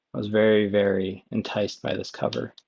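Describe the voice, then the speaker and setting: The speaker is soft-spoken, with a relaxed tone. The intonation is a flat monotone. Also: man. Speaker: ASMR video game chat creator. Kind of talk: relaxing ASMR-style chat to camera. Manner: soft-spoken, relaxed.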